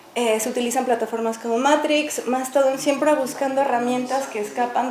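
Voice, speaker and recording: A woman talks at a fairly quick pace in a high voice with fairly even intonation. Noticeable background noise and audible room echo surround her. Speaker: artist and live coder. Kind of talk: public talk. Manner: fast.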